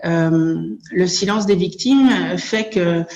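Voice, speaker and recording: In a room with audible echo, a woman speaks with fairly even intonation. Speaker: association coordinator and abuse survivor. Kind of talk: conference talk. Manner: hesitant, many filler sounds.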